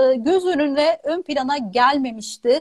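A woman talks with very wide pitch swings. The background is quiet. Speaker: pharmacist, channel host; channel host. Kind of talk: live stream interview. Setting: video call. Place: home room. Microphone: earbuds.

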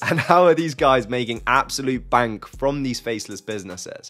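With faint music in the background, a man's speech shows ordinary pitch variation. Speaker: online business creator. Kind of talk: casual YouTube explainer. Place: home room. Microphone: studio mic.

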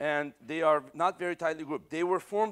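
A man's fairly quick pace carries ordinary pitch variation. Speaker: astronomy lecturer. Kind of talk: lecture. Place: classroom.

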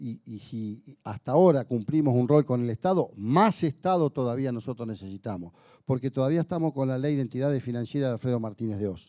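A man's dark, mellow voice with lively intonation, at a fairly quick pace against a quiet background. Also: medium pitch for a man. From Argentina. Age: 60s. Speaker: union leader and legislator; speaker. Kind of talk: speech to an audience. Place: hall. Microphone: handheld.

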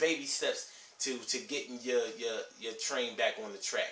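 There is audible room echo as a man speaks. His pace is moderate and his intonation fairly even. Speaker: vlogger giving life advice. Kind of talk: casual vlog chat. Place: home room. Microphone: camera far.

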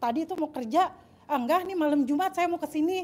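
Her voice is high-pitched for a woman, with a dark, mellow tone. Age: 30s. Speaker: audience member. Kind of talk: question and personal story. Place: home room. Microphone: handheld.

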